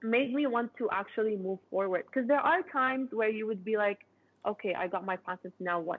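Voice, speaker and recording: With a normal speaking voice, a woman talks at a fairly quick pace, her fairly high pitch carried by lively intonation. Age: 20s. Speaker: inventor. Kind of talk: interview. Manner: casual, conversational.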